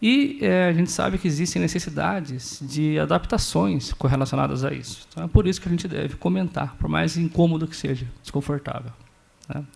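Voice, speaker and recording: Speaking with a São Paulo interior accent, a man's somewhat breathy voice moves through very wide pitch swings. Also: fairly high pitch for a man, fairly quick pace. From Brazil, interior of São Paulo state (Sorocaba). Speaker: doctoral researcher in epilepsy. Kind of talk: conference talk.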